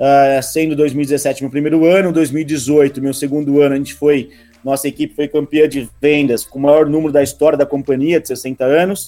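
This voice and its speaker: The voice has a dark, mellow tone and moves at a moderate pace with hardly any pauses and monotone, flat intonation. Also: man, fairly high pitch for a man. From interior of São Paulo state, Rio Claro. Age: 20s. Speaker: real estate sales director. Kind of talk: casual interview.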